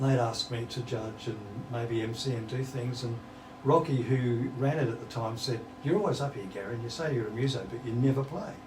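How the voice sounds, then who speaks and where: Noticeable background noise and audible room echo surround this recording. A man with an Australian accent talks at medium pitch with ordinary pitch variation. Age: 70s. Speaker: musician. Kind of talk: interview.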